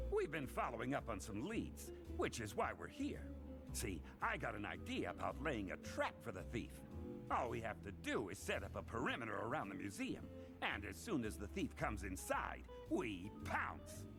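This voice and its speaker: Against loud music in the background, a man puts on a raspy character voice at a moderate pace. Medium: audio drama.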